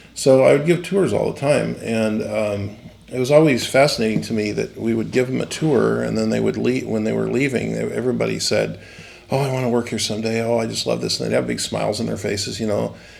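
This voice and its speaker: There is noticeable background noise as a man talks at a fairly quick pace with an American accent. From San Bernardino, California. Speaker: animatronics designer and company founder. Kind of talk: interview answer. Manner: casual, rambling with many fillers.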